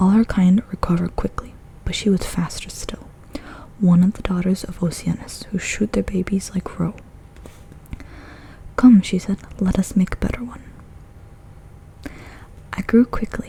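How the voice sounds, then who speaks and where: Someone whispers at a moderate pace, stopping often for long pauses, over noticeable background noise. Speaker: ASMR creator. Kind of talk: ASMR book reading. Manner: soft-spoken.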